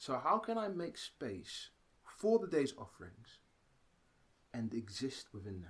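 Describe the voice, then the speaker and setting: A man's somewhat breathy, medium-pitched voice with a British accent and very wide pitch swings. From Britain. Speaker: actor, writer, theatre-maker. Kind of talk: interview answer.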